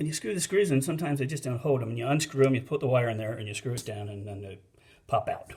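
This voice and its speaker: Somewhat breathy, a man speaks at medium pitch with ordinary pitch variation. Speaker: DIY home installer, not an electrician. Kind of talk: casual how-to tutorial. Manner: hesitant, many fillers.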